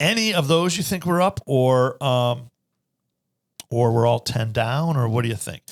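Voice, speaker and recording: A man at a medium pitch, animated in tone, with lively intonation and a dry, close sound with no echo. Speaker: financial advisor and podcast host. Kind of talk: casual chat. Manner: fast.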